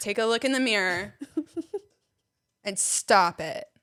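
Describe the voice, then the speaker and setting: Very slow, fairly high-pitched speech from a woman with an American accent, bright and sharp in tone, on a very clean recording with a silent background. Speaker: comedian. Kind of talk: casual chat.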